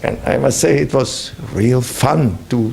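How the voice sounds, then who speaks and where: A man speaks with a German accent over noticeable background noise. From Germany. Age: 70s. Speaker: visiting professor and consultant. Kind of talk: interview. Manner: halting.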